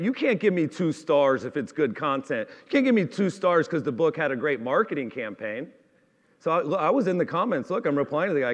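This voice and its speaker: A man talks at a moderate pace in an animated tone, his pitch swinging very widely. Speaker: author and marketing company founder. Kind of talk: talk to a live audience.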